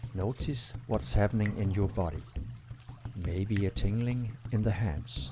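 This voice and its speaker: Calm in tone, a man talks at a fairly slow pace with long, frequent pauses. His fairly low voice has vocal fry and lively intonation. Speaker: breathwork instructor. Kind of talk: guided breathwork session. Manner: slow, calm.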